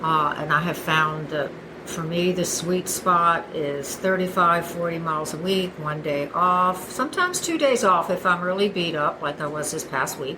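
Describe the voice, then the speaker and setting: A woman's fairly low-pitched voice at a moderate pace, hardly any pauses, with audible room echo and noticeable background noise. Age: 60s. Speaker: masters runner. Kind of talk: casual interview.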